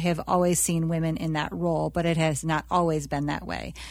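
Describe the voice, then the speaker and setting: With an American accent, a woman talks in a plain, everyday voice at a fairly low pitch, her intonation fairly even on a very clean recording with a silent background. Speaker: senior pastor. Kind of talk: panel interview, casual chat.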